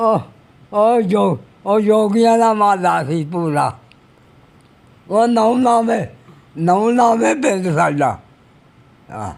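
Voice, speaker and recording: A man's high-pitched voice with lively intonation. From Pakistani Punjab. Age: 80s+. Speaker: army veteran. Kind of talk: interview. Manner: halting.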